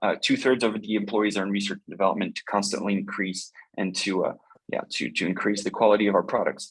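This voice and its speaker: A man talks at a very fast pace in a slight French accent. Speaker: company representative presenting robotics products. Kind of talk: webinar product presentation. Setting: video call webinar. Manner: halting, many fillers.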